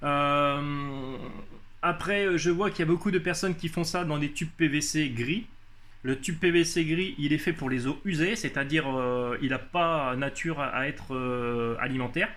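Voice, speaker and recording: Fairly slow speech from a man pitched fairly high, with ordinary pitch variation. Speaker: hydroponics hobbyist youtuber. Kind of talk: casual tutorial. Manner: halting, many hesitations.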